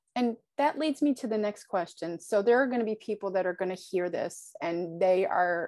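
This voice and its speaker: Her pitch sits in the medium range for a woman. She speaks at a moderate pace against a quiet background. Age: 50s. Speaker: podcast host, fitness business owner, scoliosis patient. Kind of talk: interview.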